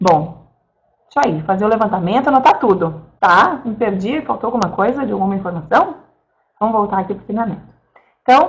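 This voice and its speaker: Her voice is fairly high-pitched and somewhat breathy, moving at a moderate pace. This woman's pitch swings very widely. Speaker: direct sales consultant. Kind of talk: online training talk. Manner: casual, chatty.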